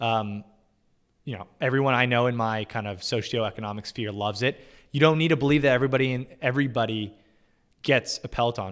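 A man with an American accent uses a normal speaking voice at a medium pitch. He talks at a fairly quick pace with fairly even intonation. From US West, Southern California (Orange County). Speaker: finance content creator and company CFO. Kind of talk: casual livestream interview. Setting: video call livestream.

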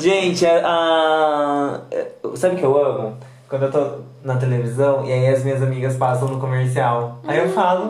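Somewhat breathy, a man speaks at a fairly slow pace with a fairly high pitch. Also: ordinary pitch variation. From Brazil, countryside (interior). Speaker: podcast host and fashion designer. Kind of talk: casual chat. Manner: animated.

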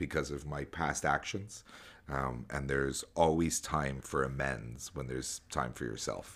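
A man's very deep, low pitch edged with vocal fry. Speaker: podcast host. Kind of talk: casual chat. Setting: remote call. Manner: loud.

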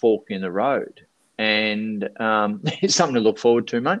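Against a quiet background, someone with an Australian accent speaks at a fairly slow pace. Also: man. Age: 40s. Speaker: speaker and life coach. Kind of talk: casual interview chat.

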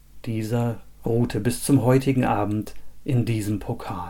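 With a dramatic, solemn, dark and mellow tone, a man speaks at a medium pitch with ordinary pitch variation. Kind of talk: fairy tale storytelling, read aloud as a scripted tale. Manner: measured, dramatic storyteller's pace with a solemn, old-fashioned tone.

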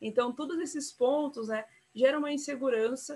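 A woman is speaking. Her pace is fairly slow. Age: young. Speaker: city councillor. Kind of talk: interview. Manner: hesitant, many fillers.

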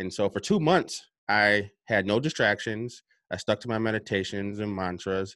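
On a very clean recording with a silent background, a man speaks at a fairly low pitch with a bright, sharp tone. His intonation is fairly even and his pace moderate. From upstate New York. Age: 30s. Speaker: self-published author and personal development coach. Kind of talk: interview. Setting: home basement.

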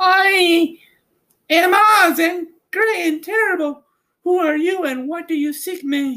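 A man speaks fairly slowly in a put-on character voice pitched extremely high. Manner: sweet but cold.

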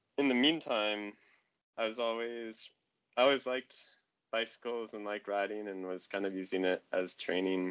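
At a moderate pace, a man with a fairly low pitch speaks in an unremarkable speaking voice with ordinary pitch variation. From Colorado, US. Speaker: track cyclist. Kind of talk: casual interview conversation.

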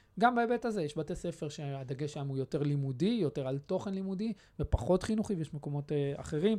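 Speech moves at a fairly quick pace with hardly any pauses. The intonation is lively over a quiet background. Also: man, fairly high pitch for a man. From Israel. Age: 30s. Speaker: youth movement secretary-general. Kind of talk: interview. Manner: halting, many repetitions and fillers.

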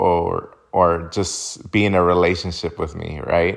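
The man's delivery comes at a very slow pace. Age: 20s. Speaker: podcast host. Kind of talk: casual monologue.

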